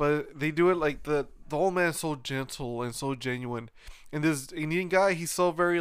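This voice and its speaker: A man with an ordinary speaking voice talks at a moderate pace, fairly high in pitch, with ordinary pitch variation. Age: 30s. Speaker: podcast host. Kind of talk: casual chat.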